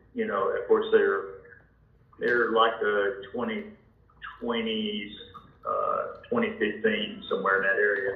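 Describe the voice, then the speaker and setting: Very slowly, a man's words come through a room with audible echo and obvious background noise. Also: long, frequent pauses. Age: 70s. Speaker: home seller. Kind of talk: phone sales call. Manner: halting.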